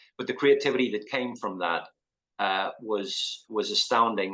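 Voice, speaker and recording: A man speaks with a Northern Irish accent at a medium pitch and moderate pace. His tone is bright and sharp. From Northern Ireland, Belfast. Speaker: artist. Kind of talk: interview. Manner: hesitant, many fillers.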